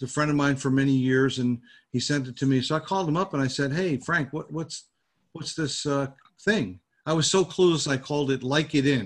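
With an American accent, this speaker's pitch varies in an ordinary way. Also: man, fairly high pitch for a man, fairly quick pace. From New Jersey. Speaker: business networking group founder. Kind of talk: interview. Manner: halting.

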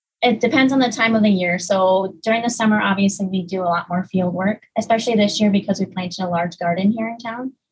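Barely pausing, a woman talks at a very fast pace and a medium pitch, somewhat breathy, with fairly even intonation. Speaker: research technician. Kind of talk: interview.

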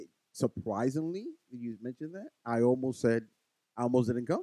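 In a dry, close recording with no echo, a man speaks at a medium pitch with a dark, mellow tone and ordinary pitch variation. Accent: New York. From New York City, the Bronx. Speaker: podcast co-host. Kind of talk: casual chat.

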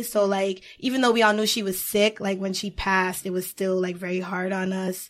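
This woman has an ordinary speaking voice, medium in pitch, delivered at a moderate pace. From Haiti, then Boston area. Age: 20s. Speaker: public relations professional and writer. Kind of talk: casual chat.

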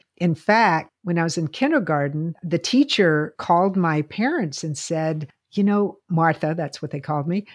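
Against a quiet background, a woman with an unremarkable speaking voice talks at a moderate pace in a fairly low pitch, with ordinary pitch variation and hardly any pauses. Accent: American. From US South, Lynchburg, Virginia. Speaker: podcast co-host. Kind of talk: casual chat.

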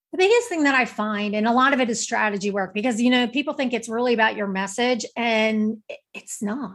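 At a fairly quick pace, a woman with a normal speaking voice talks at a fairly high pitch with ordinary pitch variation. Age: 50s. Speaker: author and speaker. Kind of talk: casual interview chat.

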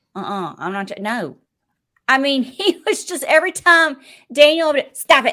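A woman speaks at a moderate pace in a raised, projected voice with a bright, sharp tone. Her animated tone carries very wide pitch swings. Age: 40s. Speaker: podcast host. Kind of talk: casual chat.

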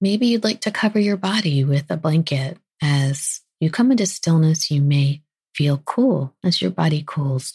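A woman speaks in a soothing, calm tone with a very deep, low pitch and lively intonation. Her voice is somewhat breathy and her loudness very even. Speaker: podcast host and physician. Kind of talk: guided meditation. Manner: slow, soft, soothing and calm; gentle, unhurried, with pauses.

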